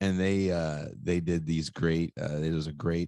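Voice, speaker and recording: With a Californian accent, a man speaks at a moderate pace in a dry, close sound with no echo. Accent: Californian American. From US West Coast, Richmond, California. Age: 40s. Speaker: podcast host. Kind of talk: interview. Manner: casual, with many fillers.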